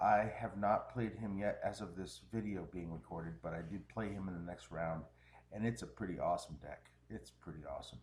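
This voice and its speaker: A man's fairly low, somewhat breathy voice at a fairly quick pace, with ordinary pitch variation. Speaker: game commentator. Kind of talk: live commentary.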